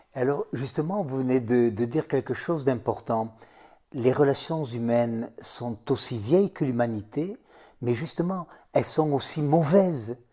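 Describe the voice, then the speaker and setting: Over a very clean recording with a silent background, a man with a dark, mellow tone and medium pitch speaks at a fairly slow pace with ordinary pitch variation. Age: 70s. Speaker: psychosociologist and author. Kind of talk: interview.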